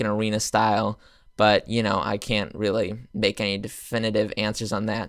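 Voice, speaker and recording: A medium-pitched man on a very clean recording with a silent background. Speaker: gaming youtuber. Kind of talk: casual video commentary. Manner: fast; hesitant, many fillers.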